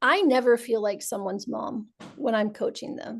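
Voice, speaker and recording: Here a woman talks with an American accent. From US South. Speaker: language coach, association co-founder. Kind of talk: webinar panel discussion.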